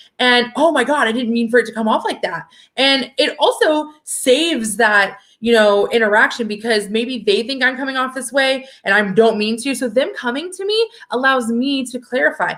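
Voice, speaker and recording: A woman speaks loudly in a high, animated voice on a very clean recording with a silent background. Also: ordinary pitch variation, moderate pace. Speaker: political activist. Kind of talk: casual chat.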